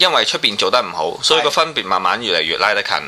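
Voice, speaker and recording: Noticeable noise runs behind the recording. The voice belongs to a man. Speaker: photographer. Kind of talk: casual chat.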